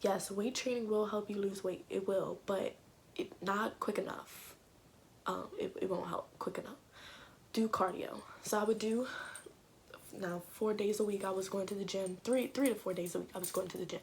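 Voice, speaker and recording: Quiet whispering from a woman at a moderate pace, broken by long, frequent pauses. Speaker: fitness vlogger. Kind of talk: casual talk to camera. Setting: home recording without proper mic. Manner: quiet, near whisper.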